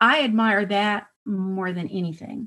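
A woman with an American accent talks in a plain, everyday voice at medium pitch, with ordinary pitch variation against a quiet background. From Texas, El Paso. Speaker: author and historian. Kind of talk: interview.

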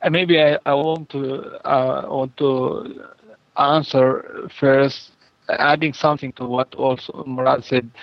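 Very slowly, a man speaks with an Arabic accent. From Palestine, Jenin. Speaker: farm project organizer. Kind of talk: interview. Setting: phone call. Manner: halting. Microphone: poor phone line, digital interference.

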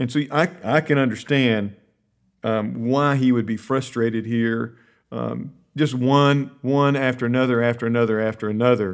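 A man at medium pitch speaks in an ordinary speaking voice, with fairly even intonation. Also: moderate pace. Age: 50s. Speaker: Bible curriculum team leader. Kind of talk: Bible study discussion.

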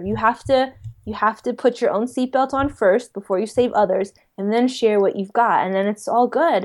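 Talking at a moderate pace, a woman with an American accent has a plain, everyday voice, a fairly high pitch, and fairly even intonation. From US, New York City. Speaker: psychic medium and YouTuber. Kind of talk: casual interview.

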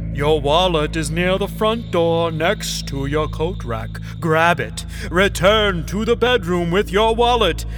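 Over loud background music, someone uses a put-on character voice at a fairly slow pace. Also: man. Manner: calm, reassuring.

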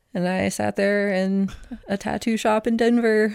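A woman's medium-pitched voice with an American accent at a moderate pace. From Oklahoma City. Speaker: tattoo artist. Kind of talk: casual chat.

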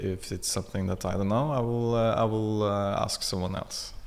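This man talks with a Norwegian accent. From Norway. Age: 40s. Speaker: technical producer. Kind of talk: interview. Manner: calm; halting, many fillers.

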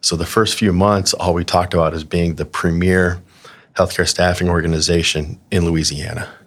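With an American accent, a man speaks at a very deep, low pitch and a moderate pace, keeping his intonation fairly even. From Arizona, farm town south of Phoenix. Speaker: healthcare staffing executive. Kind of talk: casual interview.

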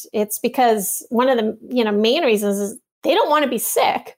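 Recorded very cleanly against a silent background, a woman speaks with a high pitch and ordinary pitch variation. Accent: Canadian. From Toronto, Canada. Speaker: naturopathic doctor. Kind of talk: interview conversation.

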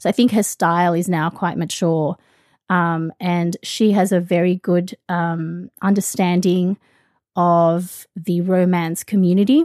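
In an Australian accent, a woman speaks at fairly low pitch with a dark, mellow tone. The sound is dry and close with no echo, and her intonation is fairly even. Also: very clean recording, silent background. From Australia (born in the Philippines). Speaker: podcast host. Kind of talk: casual chat.

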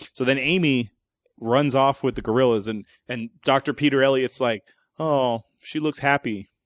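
A man with an unremarkable speaking voice talks at a medium pitch with fairly even intonation, in a dry, close sound with no echo and a quiet background. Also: moderate pace. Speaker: movie review podcast host. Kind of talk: casual comedic movie review chat.

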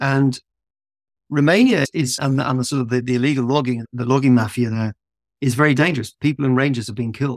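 In a dry, close recording with no echo, a man speaks at a fairly quick pace with a medium pitch and fairly even intonation. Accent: southern English. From southern England. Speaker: founder of a conservation travel company. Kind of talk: interview conversation. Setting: remote call.

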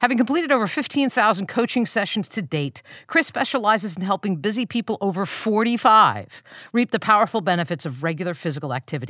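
In a bright, sharp tone with vocal fry, a woman speaks at a very fast pace with very wide pitch swings, the sound dry and close with no echo on a very clean recording with a silent background. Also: medium pitch for a woman. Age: 60s. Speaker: podcast host and nonprofit consultant. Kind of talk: scripted intro; podcast interview.

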